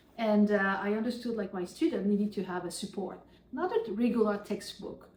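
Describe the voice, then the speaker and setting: A woman with a French accent and a medium-pitched voice talks at a fairly quick pace with fairly even intonation over noticeable background noise. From France. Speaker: professor and author. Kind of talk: interview.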